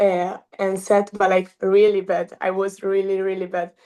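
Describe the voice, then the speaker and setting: Fairly slow and monotone, a voice with a dark, mellow tone speaks in an Italian accent with flat intonation. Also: woman. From Italy, Milan. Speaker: college beach volleyball player. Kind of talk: interview. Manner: halting.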